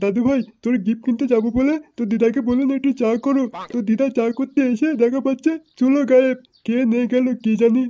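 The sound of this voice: A cartoonish character voice with a fairly high pitch speaks at a moderate pace.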